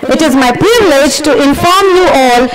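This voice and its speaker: Loud background noise is present throughout. Through it, a woman can be heard speaking. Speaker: event host. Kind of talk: formal speech. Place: stage. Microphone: podium.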